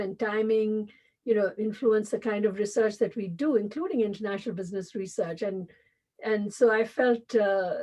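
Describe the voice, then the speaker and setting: Over a quiet background, a woman with a Tamil accent speaks at a moderate pace in a fairly high pitch. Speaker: business school dean and professor. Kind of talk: interview. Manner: halting, many fillers.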